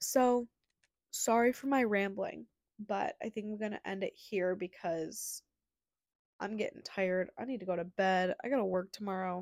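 In a very clean recording with a silent background, a woman speaks in a plain, everyday voice at a moderate pace. Her medium pitch varies in an ordinary way, and the sound is dry and close with no echo. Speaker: solo podcaster. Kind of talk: casual monologue. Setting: home recording.

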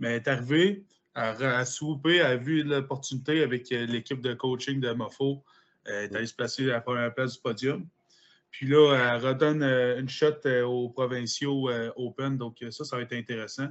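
A man speaks with a Quebec accent. His pace is moderate. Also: medium pitch for a man, fairly even intonation. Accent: Québécois French. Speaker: powerlifter. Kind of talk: casual chat.

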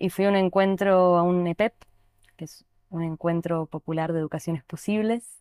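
In a very clean recording with a silent background and a dry, close sound without echo, a woman with a fairly low pitch and fairly even intonation speaks in an ordinary speaking voice. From Neuquén, Argentina. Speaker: dance therapy teacher. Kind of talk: casual chat.

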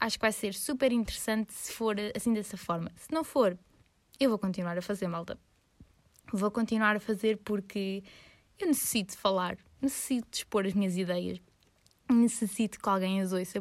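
A woman with a Lisbon accent and a medium pitch, ordinary pitch variation, a moderate pace with long, frequent pauses, on a very clean recording with a silent background. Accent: European Portuguese, Lisbon. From Lisbon, Portugal. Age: 20s. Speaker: podcaster and university student. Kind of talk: casual solo monologue.

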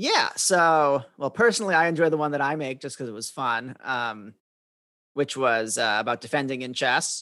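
A man with an American accent speaks at a moderate pace in a medium pitch, his tone bright and sharp. The background is quiet. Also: ordinary pitch variation. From US Midwest, Madison, Wisconsin. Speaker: chess master and course designer. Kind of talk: podcast interview.

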